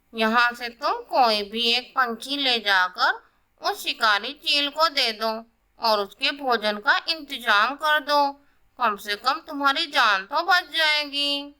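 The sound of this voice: A cartoonish character voice, female-sounding and high-pitched, at a fairly slow pace.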